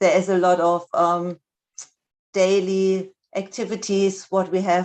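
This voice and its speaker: At a fairly slow pace, a woman with a non-native accent speaks in a monotone, flat intonation at a medium pitch against a quiet background. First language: not English. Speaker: speech and language therapist. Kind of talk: lecture. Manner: halting, many fillers.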